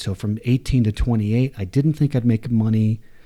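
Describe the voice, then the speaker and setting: A man speaks at a fairly quick pace in a dark, mellow tone. His pitch varies in an ordinary way, and the very clean recording has a silent background. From US South, Atlanta and Waco, Texas. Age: 40s. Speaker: climbing hold maker, recovering addict. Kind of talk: interview storytelling. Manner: halting, many false starts.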